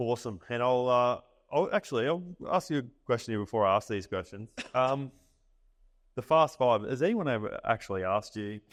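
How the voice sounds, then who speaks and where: A man's medium-pitched voice, fairly quick and lively in intonation, broken by long, frequent pauses against a quiet background. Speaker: podcast host. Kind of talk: interview at a live event. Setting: live event with audience.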